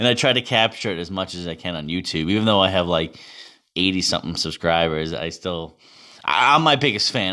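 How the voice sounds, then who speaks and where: A man with a Boston accent speaks fairly quickly in a very deep, low pitch, his tone bright and sharp and his intonation lively. The recording is very clean, with a silent background. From Massachusetts, Boston area. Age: 30s. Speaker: podcaster and amateur hockey player. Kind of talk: casual monologue.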